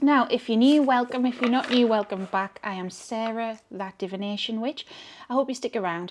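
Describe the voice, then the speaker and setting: In a very clean recording with a silent background, a woman talks at a fairly high pitch with ordinary pitch variation. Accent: Geordie. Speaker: tarot reader and channel host. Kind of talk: casual tarot reading monologue. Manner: rambling, chatty.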